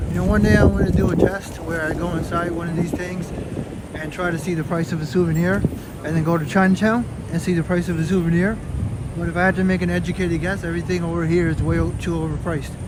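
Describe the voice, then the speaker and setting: The speech comes at a very fast pace. Audible room echo and noticeable background noise fill the recording. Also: man, high pitch for a man. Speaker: live-stream walking vlogger. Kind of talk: casual live-stream commentary. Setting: outdoors at night in cold weather.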